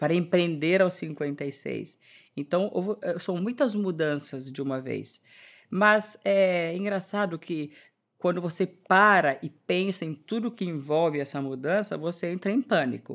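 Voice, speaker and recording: A normal speaking voice from a woman, fairly low and fairly slow, with ordinary pitch variation, in a very clean recording with a silent background. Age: 50s. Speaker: entrepreneur and fashion designer. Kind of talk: interview.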